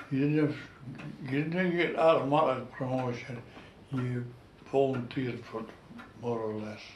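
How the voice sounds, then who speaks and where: A man with a North East Scottish accent leaves long, frequent pauses, with audible room echo and light background noise. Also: ordinary pitch variation, moderate pace. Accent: North East Scotland dialect (Doric). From North East Scotland, Gourdon fishing village; North East Scotland. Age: 90s. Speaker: war veteran and retired fishing skipper. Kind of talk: oral history interview. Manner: halting, repeats words. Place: home room. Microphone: camera far.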